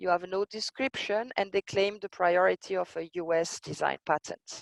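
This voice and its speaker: A woman talks at a fairly slow pace with ordinary pitch variation, her sound dry and close with no echo. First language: French. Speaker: intellectual property expert. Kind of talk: lecture. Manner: hesitant, many fillers.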